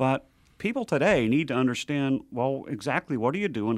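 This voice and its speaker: With an ordinary speaking voice, a man talks at a medium pitch and a fairly quick pace on a very clean recording with a silent background. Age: 60s. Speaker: nonprofit president. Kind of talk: radio interview. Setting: studio.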